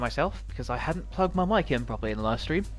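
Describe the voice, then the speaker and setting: With music playing in the background, a man speaks at a very fast pace. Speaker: game streamer. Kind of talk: live gameplay commentary.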